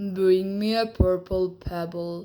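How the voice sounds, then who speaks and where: In a put-on character voice, a female-sounding voice at medium pitch speaks with monotone, flat intonation. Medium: read story. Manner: solemn, rhyming.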